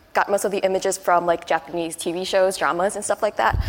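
Words tumble out very fast from a woman. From Taiwan. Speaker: advertising agency employee. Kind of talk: panel discussion.

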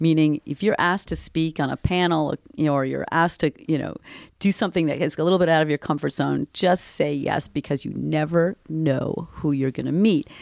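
Very deep and low, a woman's voice comes with an American accent, fairly even intonation and a fairly quick pace. The recording is very clean, dry and close, with no echo and a silent background. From US Northeast, Boston. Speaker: tech company creative strategist. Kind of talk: interview. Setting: studio.

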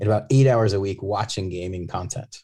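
A man with an American accent speaks at a fairly low pitch and a moderate pace, with ordinary pitch variation. His tone is dark, mellow and somewhat breathy on a very clean recording with a silent background. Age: 40s. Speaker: gaming company executive. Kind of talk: interview. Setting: on site at a conference.

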